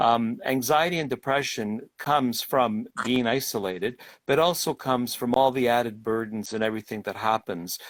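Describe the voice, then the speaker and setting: This man's voice is medium in pitch, with ordinary pitch variation at a moderate pace. Behind him the background is silent, and the recording is very clean. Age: 60s. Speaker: government minister. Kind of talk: interview. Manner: halting.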